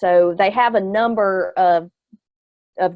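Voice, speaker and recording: A woman speaks in a plain, everyday voice at medium pitch with ordinary pitch variation. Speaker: extension educator, webinar presenter. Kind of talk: webinar Q&A. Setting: online webinar.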